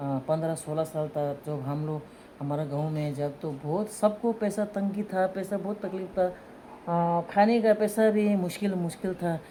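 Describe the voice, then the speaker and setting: Someone with a Tibetan accent speaks with ordinary pitch variation. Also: woman, fairly low pitch for a woman. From Tibetan community in India. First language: Tibetan (speaking Hindi). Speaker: mother telling her love story. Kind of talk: casual chat, personal storytelling.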